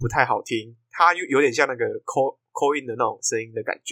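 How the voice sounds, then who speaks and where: Without any echo, the man's speech sounds dry and close. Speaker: podcast host. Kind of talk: casual chat. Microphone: new microphone bought for this episode.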